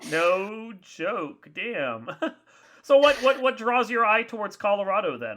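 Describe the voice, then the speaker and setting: A man speaks very slowly in a Northern Virginia accent. His voice is high-pitched, with a bright, sharp tone. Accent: flat Northern Virginia. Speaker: podcast host. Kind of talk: casual chat. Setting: studio.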